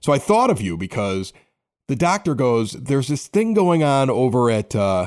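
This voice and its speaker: A man's medium-pitched voice in a Chicago accent, with very wide pitch swings at a moderate pace, on a very clean recording with a silent background. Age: 40s. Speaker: podcast host. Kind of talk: casual chat. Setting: home studio in a basement.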